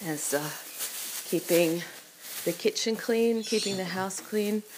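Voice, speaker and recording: A woman's pitch varies in an ordinary way while noticeable background noise runs behind her. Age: 40s. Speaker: podcaster. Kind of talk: casual monologue while cooking. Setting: at home in kitchen.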